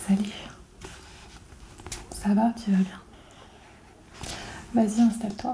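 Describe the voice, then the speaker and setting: Soft-spoken and fairly high in pitch, a woman talks at a very slow pace in a monotone, flat intonation, with long, frequent pauses and noticeable background noise. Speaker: novelist and ASMR creator. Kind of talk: ASMR roleplay.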